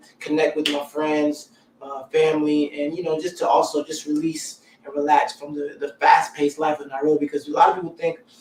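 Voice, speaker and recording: Through noticeable background noise, a man talks fairly quickly in a flat monotone, his fairly high voice showing big swings in loudness. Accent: American. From US South, Columbia, South Carolina. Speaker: musician and entertainer. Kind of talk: interview. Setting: live stream.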